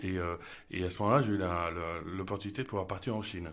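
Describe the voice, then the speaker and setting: A man's voice with audible room echo. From Paris, France. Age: 30s. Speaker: marketing director. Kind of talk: interview. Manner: hesitant, frequent repetitions.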